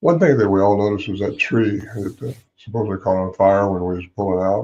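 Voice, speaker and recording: Somewhat breathy and dark, mellow in tone, a man speaks at a fairly low pitch and a fairly quick pace. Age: 80s+. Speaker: Bigfoot researcher and author. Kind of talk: interview.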